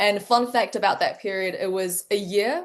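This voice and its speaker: Her accent is New Zealand. The woman's voice sits at a medium pitch with ordinary pitch variation. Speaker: medical researcher. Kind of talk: interview.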